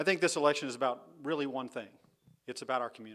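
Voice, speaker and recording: Recorded very cleanly against a silent background, a man talks with ordinary pitch variation. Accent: Texan. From Texas. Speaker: political candidate. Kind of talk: campaign speech.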